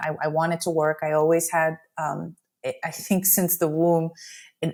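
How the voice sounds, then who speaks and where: With a Spanish accent, a woman of fairly low pitch speaks at a moderate pace in a very clean recording with a silent background. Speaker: immigration attorney. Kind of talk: interview conversation. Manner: animated.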